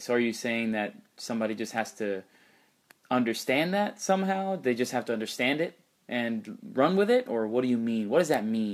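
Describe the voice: A man talks at a medium pitch and a moderate pace. His intonation is lively.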